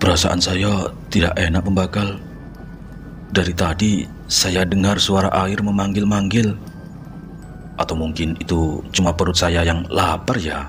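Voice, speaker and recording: Over background music, a man uses a put-on character voice that is hoarse and very deep, talking at a fairly slow pace. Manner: uneasy, trying to joke.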